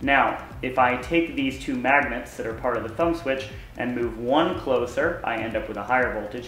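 A man's voice carries audible room echo over light background noise. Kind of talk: tutorial. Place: garage. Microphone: camera far.

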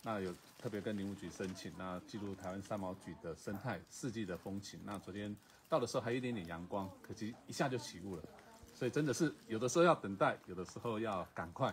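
A man talks at a fairly quick pace, his voice somewhat breathy, with ordinary pitch variation. Light background noise sits behind him. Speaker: travel show host. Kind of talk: casual vlog chat. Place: garden. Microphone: phone near.

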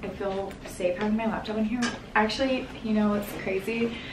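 Noticeable background noise sits behind the woman's voice. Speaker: lifestyle vlogger. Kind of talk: casual vlog chat. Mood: cheerful, laughing. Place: home room. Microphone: camera far.

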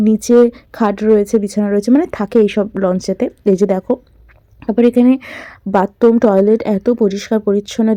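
Recorded dry and close with no echo, a woman speaks in a fairly high voice with a dark, mellow tone. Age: 20s. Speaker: travel vlogger. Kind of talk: travel vlog narration. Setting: outdoors on a river launch trip. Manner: animated.

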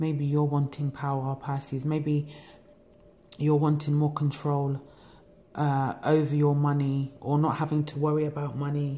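In a London accent, a woman speaks with a very deep, low pitch and monotone, flat intonation. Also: fairly slow pace. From England. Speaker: tarot reader. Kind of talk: tarot reading monologue. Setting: home recording. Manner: relaxed. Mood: calm, reflective. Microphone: phone near.

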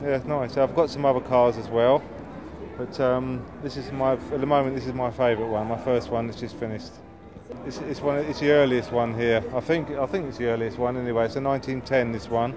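Over music in the background, a man speaks at a fairly quick pace in a monotone, flat intonation. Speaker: classic car owner. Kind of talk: interview. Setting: outdoors. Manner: halting. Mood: proud, casual. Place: street. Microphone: camera far.

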